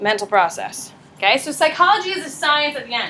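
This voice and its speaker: Over noticeable background noise, a woman with a high pitch speaks at a fairly quick pace in a raised, projected voice. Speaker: high school psychology teacher. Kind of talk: classroom lecture. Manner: fast; animated.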